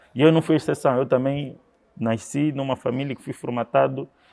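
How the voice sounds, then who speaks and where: A man's medium-pitched voice, moderate in pace, with fairly even intonation. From Angola, Luanda. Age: 30s. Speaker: event promoter. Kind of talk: interview.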